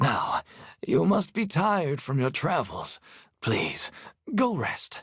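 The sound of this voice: Using a cartoonish character voice, a man speaks at a high pitch and a fairly slow pace.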